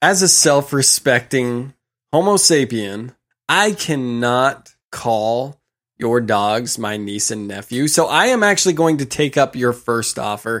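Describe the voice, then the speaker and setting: A man with an ordinary speaking voice and medium pitch talks at a fairly slow pace on a very clean recording with a silent background. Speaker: podcast host. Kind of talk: casual chat. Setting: on the road, not home studio.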